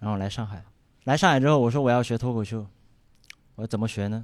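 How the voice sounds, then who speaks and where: With a Sichuan accent, a man talks at a very fast pace with medium pitch and ordinary pitch variation. The recording is very clean, with a silent background. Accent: noticeable Sichuan. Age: 20s. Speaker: stand-up comedian. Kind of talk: stand-up.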